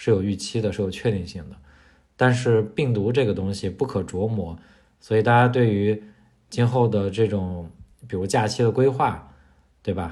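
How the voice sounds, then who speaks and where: With long, frequent pauses, a man speaks in a fairly low, somewhat breathy voice with a dark, mellow tone. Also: ordinary pitch variation, moderate pace. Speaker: podcast co-host. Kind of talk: casual chat.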